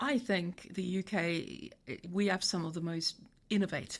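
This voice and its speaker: With a South African accent, a woman speaks at a fairly low pitch with ordinary variation and vocal fry. The recording is very clean, the background silent. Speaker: tech company CEO. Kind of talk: podcast interview. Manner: halting, many repetitions.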